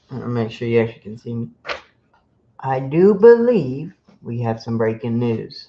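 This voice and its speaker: A soft-spoken man with a dark, mellow tone at medium pitch talks at a moderate pace with ordinary pitch variation, big swings in loudness, and long, frequent pauses. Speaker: sports podcast host. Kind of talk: casual sports podcast monologue.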